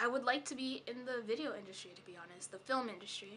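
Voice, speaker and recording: At a moderate pace, a woman talks in a fairly high voice with a bright, sharp tone. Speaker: vlogger. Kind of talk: casual vlog monologue. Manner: halting, many fillers.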